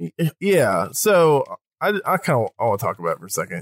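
The sound is dry and close, with no echo, in a very clean recording with a silent background. A man speaks at a moderate pace. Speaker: podcast co-host. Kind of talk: casual chat.

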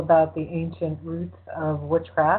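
An unremarkable speaking voice from a woman, fairly low-pitched and at a fairly slow pace. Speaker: radio host. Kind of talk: casual chat.

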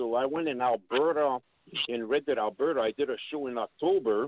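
A man's normal speaking voice at a medium pitch, moderate pace and ordinary pitch variation. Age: 50s. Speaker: wrestling promoter. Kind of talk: casual interview.

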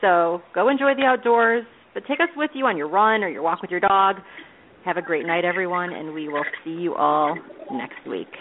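Very wide pitch swings from a woman, with noticeable background noise behind her. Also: medium pitch for a woman, moderate pace. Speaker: podcast host. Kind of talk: celebrity interview, casual chat.

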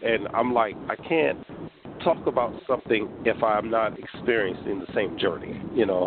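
Over noticeable background noise, a man talks in a medium-pitched voice. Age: 40s. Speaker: podcast host. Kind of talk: interview, casual chat.

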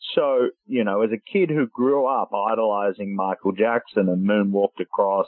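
This man has a plain, everyday voice, fairly low in pitch, talking at a moderate pace with fairly even intonation. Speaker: author and journalist. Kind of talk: radio interview.

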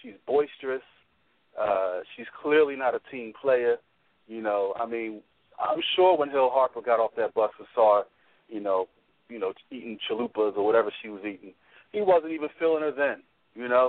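This man's medium-pitched voice moves at a moderate pace with lively intonation. He leaves long, frequent pauses. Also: big swings in loudness. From Philadelphia, US. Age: 30s. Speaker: radio panelist. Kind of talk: panel discussion.

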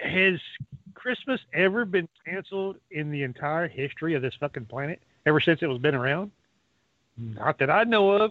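A man talks at a moderate pace with a fairly high pitch and lively intonation. He has a plain, everyday voice. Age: 50s. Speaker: round table caller. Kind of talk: casual chat.

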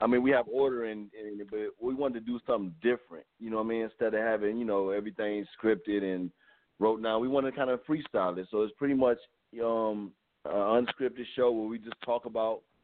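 An ordinary speaking voice from a man, medium in pitch, at a fairly quick pace with fairly even intonation. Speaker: talk show host, actor. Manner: relaxed, conversational, says "you know what I mean" often.

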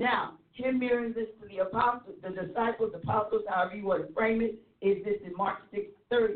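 This is an ordinary speaking voice with ordinary pitch variation. The pace is fairly quick. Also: woman, fairly high pitch for a woman. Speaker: church leader panelist. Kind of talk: ministry teaching discussion. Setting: internet radio show.

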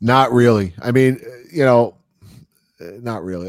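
A man with a normal speaking voice and medium pitch talks at a fairly slow pace with ordinary pitch variation. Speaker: radio show host. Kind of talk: casual chat.

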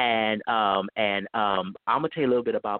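In a plain, everyday voice, a man with an American accent talks at a fairly quick pace and a fairly low pitch. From US West Coast, Bay Area (Richmond, California). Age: 30s. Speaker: author and community organizer. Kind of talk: interview.

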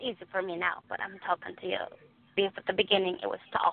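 A woman with a Guatemalan accent at a medium pitch, talking at a fairly quick pace with big swings in loudness. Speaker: immigrant sharing her faith story. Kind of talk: testimony. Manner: halting, searches for words.

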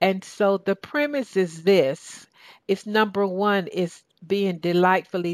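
A woman with a southern Georgia accent at a medium pitch, ordinary pitch variation, dry and close sound with no echo, and a very clean recording with a silent background. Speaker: talk show host and success coach. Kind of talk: radio talk show interview. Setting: radio studio. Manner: animated.

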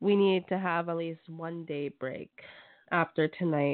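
A woman with an unremarkable speaking voice, fairly low pitch, fairly even intonation and fairly slow pace. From Canada. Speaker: radio host. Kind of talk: radio hosting. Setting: phone call.

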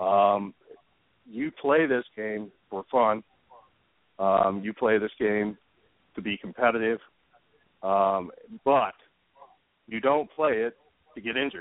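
Speaking with an American accent at a very slow pace, a man uses a fairly low pitch with ordinary pitch variation and long, frequent pauses. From Ohio, US Midwest. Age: 50s. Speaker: youth softball hitting and pitching coach. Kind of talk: interview. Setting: phone call.

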